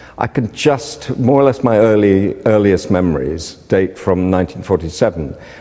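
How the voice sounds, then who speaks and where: Through noticeable background noise, a man with a British accent talks at a fairly low pitch with lively intonation. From Britain. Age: 60s. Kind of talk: interview.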